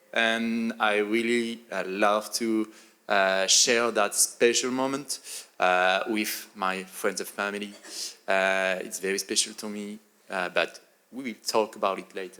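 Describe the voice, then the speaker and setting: With a French accent, a man speaks at a fairly low pitch in a bright, sharp tone and with fairly even intonation. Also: fairly slow pace. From France. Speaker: photographer and content creator. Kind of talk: panel discussion. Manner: hesitant, many fillers.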